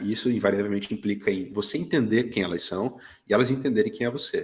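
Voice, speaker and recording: With medium pitch and ordinary pitch variation, this man talks at a moderate pace. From Brazil, Curitiba (Paraná). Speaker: graphic designer and art director. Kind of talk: casual interview chat. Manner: hesitant, many repetitions and fillers.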